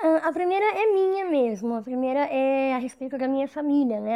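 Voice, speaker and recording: Lively intonation and a dark, mellow tone from a woman, at a moderate pace. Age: 30s. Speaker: audience participant with cleft lip. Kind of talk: Q&A with experts.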